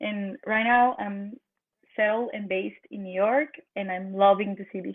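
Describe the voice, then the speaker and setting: Speaking at a moderate pace in a Mexican accent, this voice keeps a fairly even intonation while its loudness swings widely. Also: woman, medium pitch for a woman. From northern Mexico. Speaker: energy and consciousness practitioner. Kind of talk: podcast interview. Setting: remote video call.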